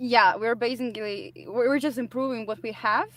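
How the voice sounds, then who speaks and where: The speaker uses lively intonation and has a non-native accent. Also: woman. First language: not English. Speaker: musician. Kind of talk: casual interview.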